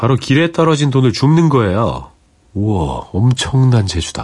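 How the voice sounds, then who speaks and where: A man speaks at a medium pitch with very wide pitch swings and a somewhat breathy sound. The background is quiet. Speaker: radio DJ. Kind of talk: late-night radio show. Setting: radio studio. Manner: warm, gentle storytelling.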